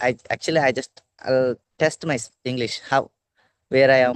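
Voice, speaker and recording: A man with a Telugu accent, recorded with a dry, close sound, no echo and a quiet background. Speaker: English learner. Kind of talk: casual chat. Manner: loud.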